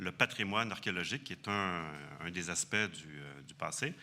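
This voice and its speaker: In a very clean recording with a silent background, a man with a Quebec accent speaks at a moderate pace in a bright, sharp tone with lively intonation. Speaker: archaeologist. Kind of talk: conference talk. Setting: conference hall with audience. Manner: hesitant, many fillers.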